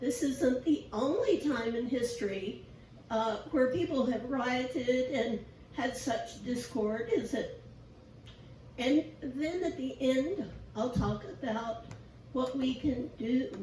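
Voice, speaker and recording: Over noticeable background noise and audible room echo, a high-voiced woman speaks at a very slow pace. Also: ordinary pitch variation. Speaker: guest preacher. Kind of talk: sermon.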